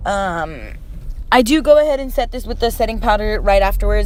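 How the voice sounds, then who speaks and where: A woman's very fast speech is heard amid noticeable background noise. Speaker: beauty vlogger. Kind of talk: makeup tutorial voice-over. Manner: casual, chatty.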